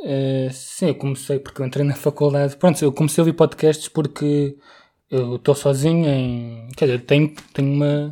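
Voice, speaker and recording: This man speaks at a moderate pace in a fairly high, dark, mellow voice with a slight Setúbal accent and flat, monotone intonation. The recording is very clean, with a silent background. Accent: mild Setúbal. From Setúbal, Portugal. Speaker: podcast co-host, biology student. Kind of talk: casual chat. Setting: home recording in bedroom.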